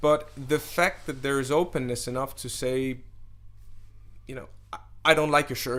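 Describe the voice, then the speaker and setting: A man with a Danish accent speaks at a moderate pace, his fairly high pitch held in monotone, flat intonation. Long, frequent pauses and big swings in loudness mark his delivery. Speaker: DJ and event organizer. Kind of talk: interview.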